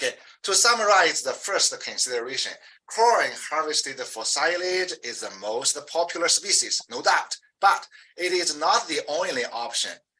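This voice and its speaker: A man speaks at a moderate pace with a strong Chinese accent. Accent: heavy Chinese. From China. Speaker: professor. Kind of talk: interview. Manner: halting, with many fillers.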